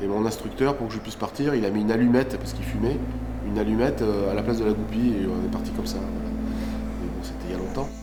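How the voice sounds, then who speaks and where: Someone talks at a very fast pace over music in the background, with audible room echo. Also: man. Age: 50s. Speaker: airline pilot, former fighter pilot. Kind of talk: documentary interview. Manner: hesitant, many fillers.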